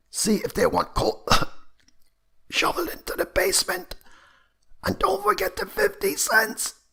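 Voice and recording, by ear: A man in a put-on character voice, high-pitched, hoarse and croaky, at a moderate pace with long, frequent pauses.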